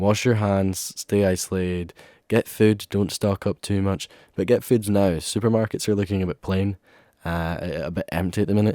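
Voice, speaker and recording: With an Ayrshire accent, a man speaks in a very deep, low pitch and a dark, mellow tone, recorded very cleanly against a silent background with a dry, close sound and no echo. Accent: Scottish, Ayrshire. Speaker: student radio host. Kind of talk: radio show sign-off. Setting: radio studio. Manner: casual, filler-heavy.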